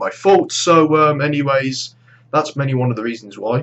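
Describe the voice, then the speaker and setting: Here a man talks at a fairly quick pace. He has a British accent. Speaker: gaming YouTuber. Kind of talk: vlog monologue. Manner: halting.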